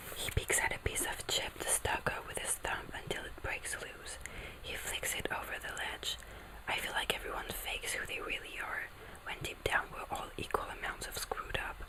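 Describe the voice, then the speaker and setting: Against noticeable background noise, this woman is whispering at a moderate speed. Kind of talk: ASMR book reading. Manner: whispered, soft.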